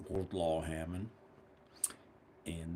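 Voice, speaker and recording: Delivery is fairly slow and somewhat breathy, with monotone, flat intonation. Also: man. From US South, South Carolina. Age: 60s. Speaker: woodworker and channel owner. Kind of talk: casual monologue. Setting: woodshop. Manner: halting.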